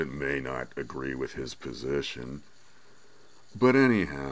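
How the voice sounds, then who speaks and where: With audible room echo, a man with a very deep, low pitch talks at a fairly slow pace and with fairly even intonation. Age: 60s. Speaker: podcast host. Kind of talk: personal rant monologue. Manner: casual, with stumbles and repetitions.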